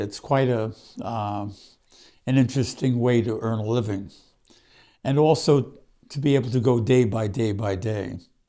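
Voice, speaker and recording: Speaking with a Brooklyn accent, a man with a medium-pitched, dark, mellow voice moves at a moderate pace with ordinary pitch variation and long, frequent pauses, recorded very cleanly against a silent background. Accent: Brooklyn New York. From Brooklyn, New York. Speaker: author. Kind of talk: personal storytelling monologue. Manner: halting, with fillers.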